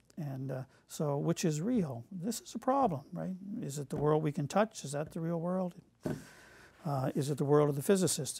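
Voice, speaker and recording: A man's fairly high-pitched voice, dark and mellow in tone and somewhat breathy, at a moderate pace. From Nova Scotia, Canada. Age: 60s. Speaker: academic speaker; speaker. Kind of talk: lecture. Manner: halting, many fillers. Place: studio.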